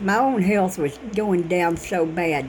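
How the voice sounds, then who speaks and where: There is noticeable noise in the background. Over it, a woman speaks at a moderate pace. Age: 60s. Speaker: vlogger. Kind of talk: casual monologue. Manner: animated.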